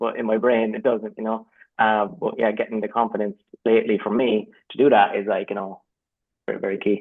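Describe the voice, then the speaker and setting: The speaker talks at a fairly quick pace in an Irish accent. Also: man. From Ireland. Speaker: creative professional, community member. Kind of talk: casual chat. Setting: video call.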